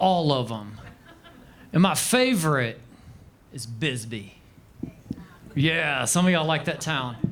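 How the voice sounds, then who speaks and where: Over noticeable background noise, a man with a Southern US accent speaks at a very slow pace with a fairly high pitch, lively intonation and long, frequent pauses. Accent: Southern American. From Arkansas, USA. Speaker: stand-up comedian. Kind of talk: live stand-up comedy set. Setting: comedy club stage. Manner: dry.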